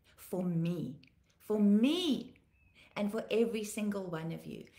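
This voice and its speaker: Speaking at a fairly slow pace, a woman uses lively intonation, her voice showing vocal fry. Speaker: pastor. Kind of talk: live devotional broadcast. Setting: livestream video. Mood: earnest, heartfelt. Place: home room. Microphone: phone near.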